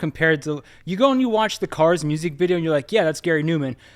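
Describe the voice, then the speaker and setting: Recorded very cleanly against a silent background, a man with an American accent talks at a fairly high pitch with ordinary pitch variation. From Central Pennsylvania, US. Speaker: visual artist. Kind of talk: casual chat.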